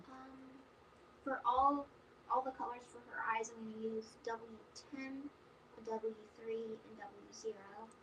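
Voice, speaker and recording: Soft-spoken and fairly high in pitch, a woman talks fairly slowly in a monotone, flat intonation, with big swings in loudness and long, frequent pauses. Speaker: coloring artist. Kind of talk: tutorial. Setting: live stream. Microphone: too quiet.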